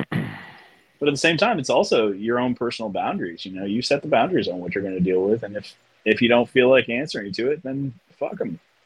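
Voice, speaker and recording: Hardly pausing at all, a man with an American accent talks with very wide pitch swings. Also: medium pitch for a man, fairly quick pace. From US Mid-Atlantic, outside Washington DC. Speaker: artist. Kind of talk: casual chat.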